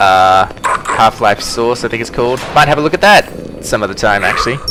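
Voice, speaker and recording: A man with an Australian accent, medium pitch, lively intonation and a fairly quick pace, with music in the background. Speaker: gaming YouTuber. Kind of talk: let's play commentary. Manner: casual, chatty.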